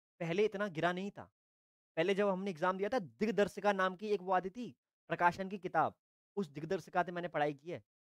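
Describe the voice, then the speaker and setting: At a moderate pace, a man with a high voice talks in an animated tone, his loudness swinging widely, in dry sound with no echo and a quiet background. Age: 20s. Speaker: online tutor. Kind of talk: live online class. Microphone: lapel.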